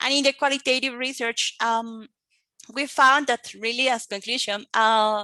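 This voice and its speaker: Fairly high-pitched woman with a Colombian accent, bright, sharp tone, moderate pace, dry, close sound with no echo and a quiet background. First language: Spanish. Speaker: English teacher and researcher. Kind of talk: conference presentation. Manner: hesitant, many fillers.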